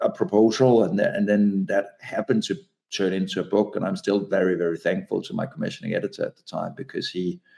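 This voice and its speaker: A man with a Danish accent at a fairly quick pace. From Denmark. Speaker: author and advertising consultant. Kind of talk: interview conversation. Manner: halting, many repeated words.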